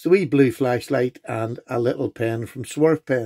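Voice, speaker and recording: Speaking at a moderate pace against a quiet background, a man has a dark, mellow tone and ordinary pitch variation. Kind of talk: casual show-and-tell vlog.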